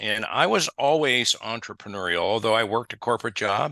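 A bright, sharp tone carries speech at a moderate pace over a quiet background. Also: man. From US Midwest. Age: 70s. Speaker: family banking advisor. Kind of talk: casual interview.

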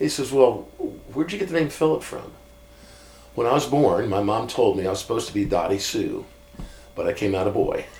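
An American man talks at a fairly quick pace, with long, frequent pauses. Noticeable background noise runs under his speech. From US Midwest (Iowa). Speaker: pastor. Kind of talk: casual chat.

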